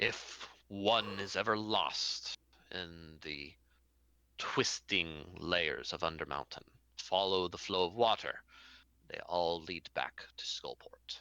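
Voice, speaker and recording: Speaking fairly slowly, a man adopts a put-on character voice. His pitch is very deep and low. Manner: deadpan.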